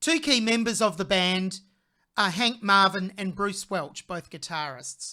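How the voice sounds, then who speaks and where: In a very clean recording with a silent background, a woman with an Australian accent talks at a moderate pace, her medium-pitched voice bright and sharp in tone, with lively intonation. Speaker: music reaction channel host, vocal coach. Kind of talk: video reaction commentary. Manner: conversational, occasional self-corrections.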